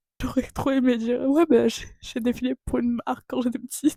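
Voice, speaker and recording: A woman's high voice, dry and close with no echo. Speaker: youtuber. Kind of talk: casual podcast-style monologue. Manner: animated.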